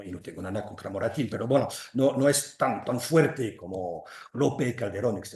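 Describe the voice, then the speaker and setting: With a French accent, a man talks at a moderate pace in a dark, mellow, somewhat breathy tone, his intonation lively and the background quiet. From western France, Loire valley between Angers and Nantes. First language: French (speaking Spanish). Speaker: literary translator. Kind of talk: lecture. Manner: halting.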